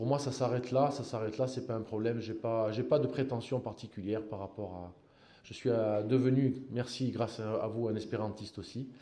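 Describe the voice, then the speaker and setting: A man's dark, mellow tone carries audible room echo. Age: 60s. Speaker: football coach. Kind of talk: press conference. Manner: halting, many repetitions.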